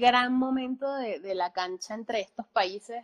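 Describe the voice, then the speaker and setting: The sound is dry and close with no echo. A woman speaks at a high pitch and a moderate pace with ordinary pitch variation. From Venezuela, Valencia. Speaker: film production company co-owner, musician. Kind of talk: casual interview chat. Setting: live stream.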